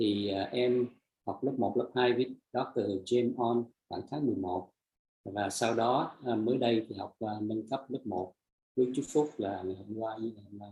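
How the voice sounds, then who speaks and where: A somewhat breathy man's voice of medium pitch at a fairly slow pace. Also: fairly even intonation. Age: 60s. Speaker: energy healing practitioner sharing testimony. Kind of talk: testimony. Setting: live stream. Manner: halting; soft-spoken.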